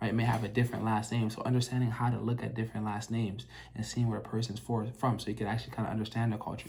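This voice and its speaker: This man talks very fast. There is a somewhat breathy quality to his voice. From Minnesota, US. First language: French. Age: young. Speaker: emergency medicine doctor. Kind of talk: casual vlog monologue. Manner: conversational, frequent fillers.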